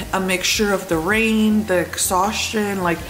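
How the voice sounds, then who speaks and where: A woman speaks with fairly even intonation. There is light noise in the background. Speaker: vlogger. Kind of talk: casual vlog chat. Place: kitchen. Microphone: phone near.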